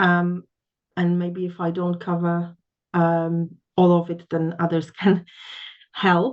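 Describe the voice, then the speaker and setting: A woman with a Polish accent and a fairly low pitch speaks at a very slow pace, leaving long, frequent pauses. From Poland. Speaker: English test trainer. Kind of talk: panel discussion. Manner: hesitant, many fillers.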